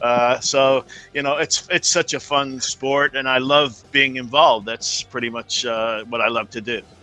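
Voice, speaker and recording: A man speaks at a moderate pace and medium pitch with fairly even intonation and hardly any pauses, his voice dry and close with no echo over music in the background. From England. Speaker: brake company owner and sponsor. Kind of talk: casual interview.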